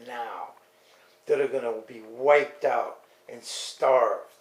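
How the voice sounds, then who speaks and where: Audible room echo follows a man as he speaks. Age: 70s. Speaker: video blogger. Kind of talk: monologue rant. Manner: animated; halting.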